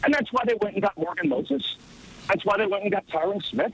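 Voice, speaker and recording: Using lively intonation, a man talks at a fairly quick pace. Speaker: NFL team radio play-by-play announcer. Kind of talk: radio show interview answer, casual sports talk.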